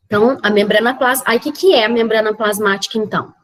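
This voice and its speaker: Her voice sits fairly high as the woman talks at a moderate pace. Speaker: biology teacher. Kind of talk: lecture.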